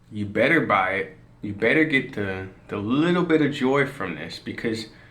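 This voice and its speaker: Speaking slowly-ish in an American accent, a man sounds animated, with a bright, sharp tone. His intonation is lively, and the room echo can be heard. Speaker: commentary vlogger. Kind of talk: casual rant monologue.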